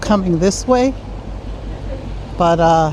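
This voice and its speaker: With noticeable background noise, a woman speaks at a very slow pace in a medium pitch with ordinary pitch variation. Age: 60s. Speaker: travel vlogger. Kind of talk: casual vlog narration while walking. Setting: outdoors, walking through town streets. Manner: chatty, conversational.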